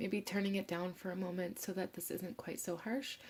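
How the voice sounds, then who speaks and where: Somewhat breathy and at a medium pitch, a woman speaks with monotone, flat intonation. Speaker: tarot reader. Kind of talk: tarot reading.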